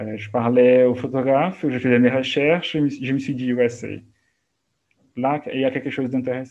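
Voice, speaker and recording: With an unremarkable speaking voice, a man talks at a moderate pace, medium in pitch and fairly even in intonation. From Brazil, Minas Gerais. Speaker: art historian and museum educator. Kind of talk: interview.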